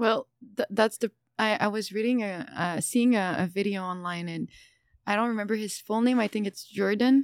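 A woman with a normal speaking voice, fairly high in pitch, talks at a moderate pace with fairly even intonation in a dry, close sound with no echo. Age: 20s. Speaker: esthetician and entrepreneur. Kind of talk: casual chat.

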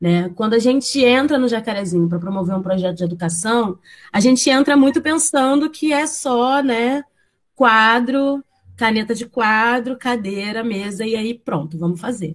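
Using a normal speaking voice, a woman speaks at a moderate pace with a fairly high pitch and lively intonation. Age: 20s. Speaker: university student and community education coordinator. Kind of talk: interview.

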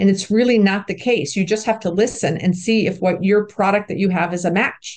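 In a normal speaking voice, a woman of medium pitch talks at a fairly quick pace with fairly even intonation and hardly any pauses. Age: 60s. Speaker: commercial real estate broker and investor. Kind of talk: interview.

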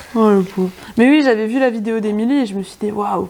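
A woman talks fairly quickly in a fairly high voice. Her pitch variation is ordinary, and noticeable background noise is present. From France, rural area near Bourgueil (Touraine). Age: 20s. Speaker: veterinary student. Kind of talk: casual interview chat.

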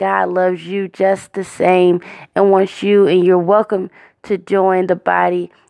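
Against a quiet background, a woman speaks at medium pitch and a moderate pace in a monotone, flat intonation, the sound dry and close with no echo. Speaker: podcast host and prayer leader. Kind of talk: fervent prayer. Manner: earnest, heartfelt, devout; warm, encouraging.

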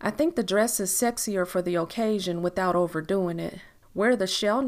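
Ordinary pitch variation during plain reading aloud

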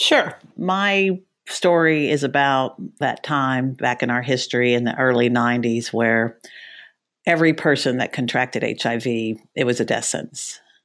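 A woman's very deep, low voice with ordinary pitch variation, on a very clean recording with a silent background. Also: moderate pace. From Texas. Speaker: congressional candidate. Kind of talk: interview.

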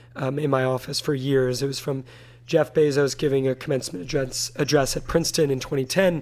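This man has an unremarkable speaking voice with a fairly high pitch. He talks at a fairly quick pace with fairly even intonation. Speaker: interviewer. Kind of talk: interview conversation.

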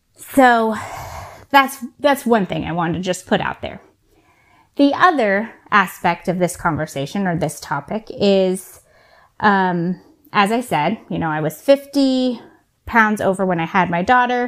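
Over a very clean recording with a silent background, a woman speaks at a fairly slow pace and medium pitch with lively intonation. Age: 30s. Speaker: podcast host. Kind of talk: casual monologue. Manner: hesitant, many fillers.

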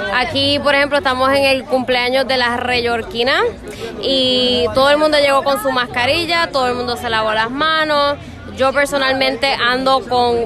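A woman with a high pitch uses a raised, projected voice at a moderate pace, with fairly even intonation and very even loudness. Crowd noise and audible room echo surround her. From Puerto Rico. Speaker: friend at birthday party. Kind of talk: casual chat. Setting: restaurant.

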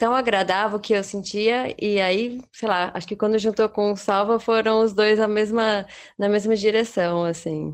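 A woman with an ordinary speaking voice and a fairly high pitch talks at a fairly slow pace with fairly even intonation against a quiet background. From Brazil. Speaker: traveller and artisan. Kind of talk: casual interview.

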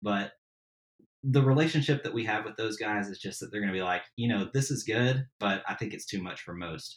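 Delivered at a fairly quick pace, a plain, everyday voice with an American accent shows ordinary pitch variation. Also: man, fairly low pitch for a man. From Tennessee, US South. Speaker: backyard barbecuer and podcaster. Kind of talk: casual interview chat. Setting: remote podcast recording.

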